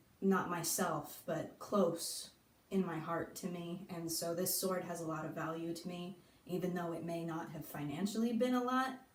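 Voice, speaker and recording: Noticeable background noise and audible room echo around a speaking woman. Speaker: YouTuber. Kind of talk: casual show-and-tell vlog. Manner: halting, self-correcting.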